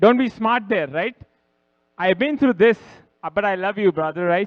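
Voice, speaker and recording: In an animated tone, a high-pitched man talks at a moderate pace with ordinary pitch variation. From India. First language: Hindi or Punjabi. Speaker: wedding guest, groom's friend. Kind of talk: wedding speech. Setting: reception hall with audience, microphone at podium.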